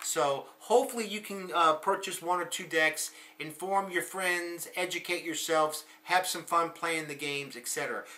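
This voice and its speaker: Amid noticeable background noise, a man with an American accent speaks at a moderate pace in a high pitch, with ordinary pitch variation and big swings in loudness. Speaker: political commentator. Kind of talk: monologue video blog. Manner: hesitant, many fillers.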